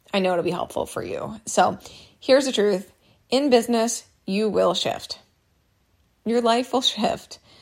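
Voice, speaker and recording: A woman with a fairly high pitch and vocal fry talks at a fairly slow pace, with ordinary pitch variation and long, frequent pauses. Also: very clean recording, silent background. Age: 30s. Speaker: business coach and podcast host. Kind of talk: solo podcast monologue. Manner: casual and chatty.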